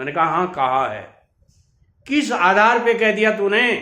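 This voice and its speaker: A man projects his voice loudly, pitched high with a bright, sharp tone. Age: 70s. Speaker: business advice youtuber, contractor. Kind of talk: storytelling monologue.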